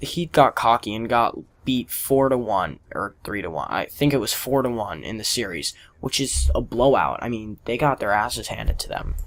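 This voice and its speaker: Speaking at a moderate pace with an American accent, a man has a medium pitch, lively intonation and vocal fry. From Philadelphia, US. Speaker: gaming commentator. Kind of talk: casual commentary over gameplay. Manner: casual, opinionated.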